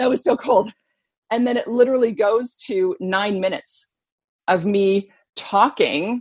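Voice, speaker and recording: A woman in a Canadian accent uses a normal speaking voice at a medium pitch, with ordinary pitch variation and a fairly slow pace. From northwest Canada. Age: 50s. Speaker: fitness trainer and model. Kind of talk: interview conversation.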